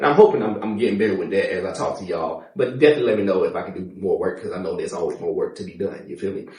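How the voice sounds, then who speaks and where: A man talks at a very fast pace with hardly any pauses. His loudness swings widely, and room echo is audible. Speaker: podcast host and firefighter. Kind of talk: casual interview chat.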